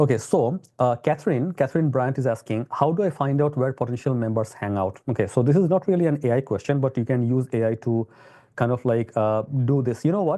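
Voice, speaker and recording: A man talks at a fairly quick pace with a dark, mellow tone. His pitch is medium, with ordinary variation. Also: quiet background. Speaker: tech company CEO and webinar host. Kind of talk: live webinar demo and Q&A. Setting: live webinar. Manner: fast; animated.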